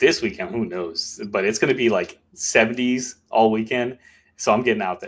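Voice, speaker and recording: An ordinary speaking voice from a man with an American accent, medium pitch, ordinary pitch variation and a moderate pace. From Maryland, US. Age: 30s. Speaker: mountain bike content creator. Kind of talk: casual podcast interview.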